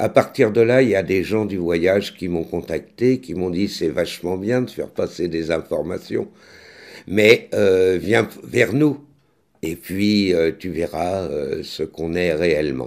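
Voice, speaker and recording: Against a quiet background, a man with a very deep, low voice talks at a very slow pace with ordinary pitch variation. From France. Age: 60s. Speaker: actor and vlogger; author-actor chronicler. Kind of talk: vlog commentary; casual vlog chat. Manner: halting, many hesitations. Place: kitchen. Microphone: studio mic.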